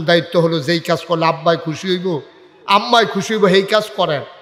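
Noticeable background noise and audible room echo surround a man speaking at a high pitch with ordinary pitch variation. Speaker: Islamic preacher. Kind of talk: sermon. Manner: animated.

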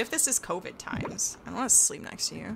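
A woman rattles along at a very fast pace, with noticeable background noise behind her. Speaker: gaming streamer. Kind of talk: live gameplay streaming. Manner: loud screaming.

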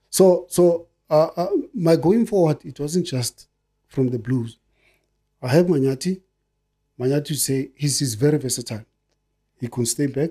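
A man's fairly high, somewhat breathy voice with a dark, mellow tone, ordinary pitch variation, long, frequent pauses and a quiet background. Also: moderate pace. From South Africa, Soweto; South Africa. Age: 50s. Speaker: retired footballer; guest. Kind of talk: casual chat. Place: studio. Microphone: studio mic.

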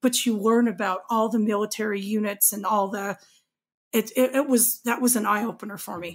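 A woman speaks in an ordinary speaking voice with an American accent and a fairly high pitch. She talks at a fairly quick pace with fairly even intonation. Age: 40s. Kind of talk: casual chat.

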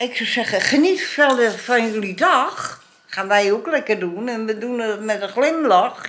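A woman talks at a fairly slow pace with very wide pitch swings. Light background noise can be heard. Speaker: vlogger. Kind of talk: casual vlog chat. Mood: cheerful turning indignant. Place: home room. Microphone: phone near.

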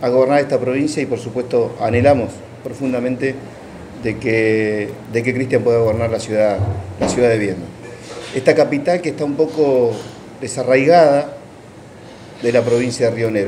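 Over light background noise, a man talks at a moderate pace with ordinary pitch variation and long, frequent pauses. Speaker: candidate. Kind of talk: press conference statement. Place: office.

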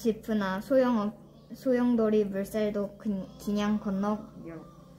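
Amid noticeable background noise, a woman with a fairly high pitch speaks very slowly in a monotone, flat way. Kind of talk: poetry reading in dialect.

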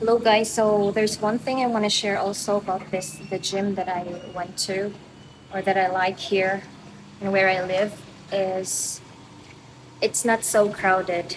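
Noticeable background noise sits under a woman's voice. She speaks fairly slowly in a monotone, flat intonation. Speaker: fitness vlogger. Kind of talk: casual vlog chat. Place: gym. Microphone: phone near.

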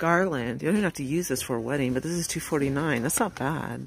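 Background noise is clearly present, yet the recording itself is dry and echo-free. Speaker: shopper vlogger. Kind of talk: casual shop-with-me commentary. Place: shop. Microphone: phone near.

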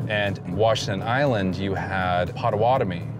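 A man with ordinary pitch variation, music in the background and a dry sound with no echo. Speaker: guest. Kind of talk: interview answer. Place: car.

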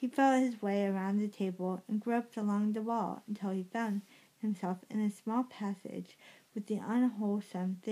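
Fairly even intonation in a natural reading voice

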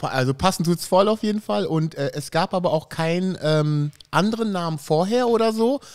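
A man's high-pitched voice with lively intonation, a moderate pace and hardly any pauses, against a quiet background. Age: 40s. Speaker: podcast host. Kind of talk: casual chat. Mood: relaxed, friendly. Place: studio. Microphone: studio mic.

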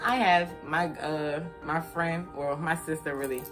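Over clear background music, a woman with a very deep, low pitch speaks with fairly even intonation. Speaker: vlogger. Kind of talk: casual vlog chat. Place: home room. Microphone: phone near.

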